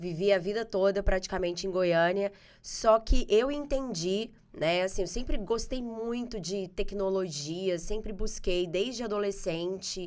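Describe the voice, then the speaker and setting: With a Goiás accent, a woman speaks at a moderate pace and a medium pitch, with ordinary pitch variation, on a very clean recording with a silent background. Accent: Goiás countryside. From Goiás, Brazil. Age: 40s. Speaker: marketing specialist. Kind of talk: podcast interview.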